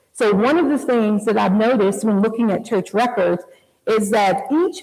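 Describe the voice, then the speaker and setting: This woman's voice is fairly high-pitched, with an animated tone and ordinary pitch variation. She speaks at a moderate pace, and audible room echo surrounds her. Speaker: community historian and speaker. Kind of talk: public history lecture. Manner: occasional stumbles over words; conversational, animated.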